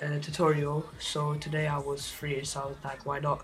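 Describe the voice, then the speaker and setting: Noticeable noise sits in the background. The delivery keeps a moderate tempo. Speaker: video editing tutorial maker. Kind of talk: tutorial. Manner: halting with many fillers.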